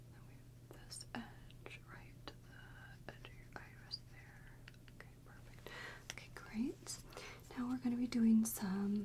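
A woman at a fairly slow pace, with big swings in loudness and light background noise. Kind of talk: soft-spoken roleplay. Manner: soft, close ASMR murmur. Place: home room.

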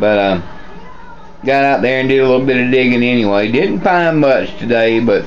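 A man at a moderate pace, very even in loudness, with ordinary pitch variation and light background noise. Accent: Southern US. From US South. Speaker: metal detecting vlogger. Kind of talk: casual vlog talk. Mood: relaxed, upbeat. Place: kitchen.

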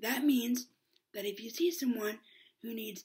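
Against a quiet background, a woman talks with lively intonation. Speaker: vlogger. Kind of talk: casual vlog outro. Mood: warm, upbeat. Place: home room. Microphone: webcam.

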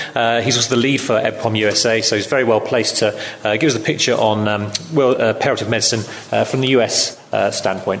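A man talks at a fairly quick pace with fairly even intonation over light background noise. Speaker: panel moderator. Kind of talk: panel introduction. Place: hall.

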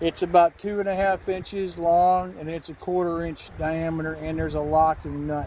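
A man with a high pitch speaks in a monotone, flat intonation at a moderate pace. The sound is dry with no echo, with light background noise. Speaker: tractor owner. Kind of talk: tutorial. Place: open country. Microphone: phone near.

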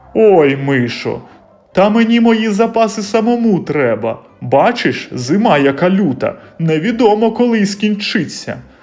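Music plays in the background. A man puts on a character voice at a high pitch, speaking at a moderate pace. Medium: read story. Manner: gruff, good-natured.

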